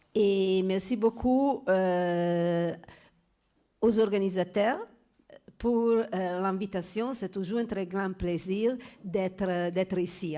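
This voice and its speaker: In an Italian accent, a woman speaks at a very slow pace and a medium pitch. Her tone is dark and mellow, with ordinary pitch variation. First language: Italian (speaking French). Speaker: law professor. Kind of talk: conference talk. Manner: halting, many hesitations.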